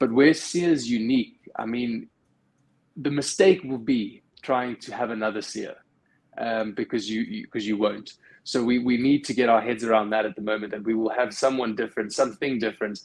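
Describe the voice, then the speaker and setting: This man has a plain, everyday voice. His pitch sits at a medium level. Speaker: rugby fan panelist; panelist. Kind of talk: casual chat. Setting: video call. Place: home room. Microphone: video call.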